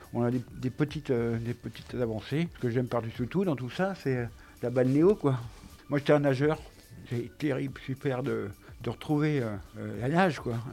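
Over music in the background, a man of medium pitch speaks at a fairly slow pace with long, frequent pauses. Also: ordinary pitch variation. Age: 50s. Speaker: stroke patient. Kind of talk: testimony. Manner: halting.

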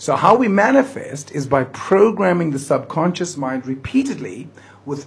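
Against noticeable background noise, a man with a high pitch talks at a fairly slow pace, his pitch swinging very widely. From South Africa, Johannesburg (Riverlea). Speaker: motivational speaker. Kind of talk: radio interview. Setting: studio.

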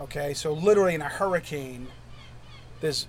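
A man speaks at a moderate pace, somewhat breathy, with fairly even intonation. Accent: American. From New Hampshire, US. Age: 50s. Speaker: urchin diver and lobsterman. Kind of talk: interview. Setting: on a wharf.

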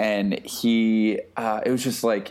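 This man has an American accent and a fairly low pitch. His tone is dark and mellow. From Texas, small town. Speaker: photographer and music curator. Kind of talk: casual chat.

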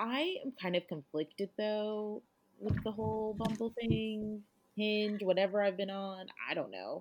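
Speaking at a fairly slow pace, a woman keeps her fairly high-pitched voice in fairly even intonation. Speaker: podcast co-host. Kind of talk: casual chat.

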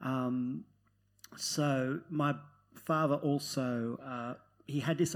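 The recording is very clean with a silent background, and the man on it uses fairly even intonation. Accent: Australian. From Netherlands, then Newcastle, Australia. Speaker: novelist. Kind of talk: live panel discussion. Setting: stage with audience.

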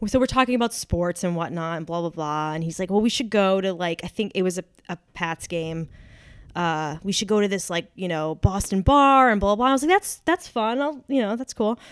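A woman with a plain, everyday voice talks at a fairly quick pace and medium pitch, her intonation lively. The sound is dry and close with no echo, in a very clean recording with a silent background. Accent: American. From New Hampshire, US. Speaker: actor. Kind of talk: casual chat. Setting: home studio.

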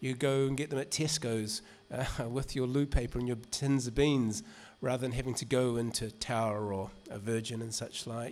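A man talks with a New Zealand accent. His intonation is fairly even. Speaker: music writer and author. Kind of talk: reading and talk. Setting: stage with audience. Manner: casual.

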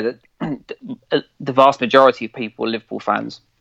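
A man's voice with an English accent and vocal fry, dry and close with no echo. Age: 40s. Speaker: football fan podcaster. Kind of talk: casual chat.

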